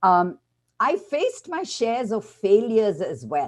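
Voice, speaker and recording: A woman is speaking. Her pitch sits fairly high. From India. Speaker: panelist, international leader. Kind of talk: panel discussion.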